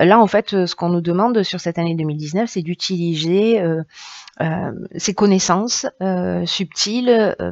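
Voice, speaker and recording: At a moderate pace, a woman with a southern French accent speaks at a medium pitch with ordinary pitch variation, in a dry, close sound with no echo. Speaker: tarot reader. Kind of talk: tarot reading. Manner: hesitant, many fillers.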